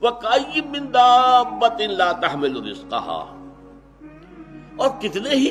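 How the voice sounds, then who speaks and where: High-pitched man's voice with very wide pitch swings over music in the background. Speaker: Islamic scholar giving a sermon. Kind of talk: Urdu Islamic sermon / religious lecture. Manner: earnest, explanatory.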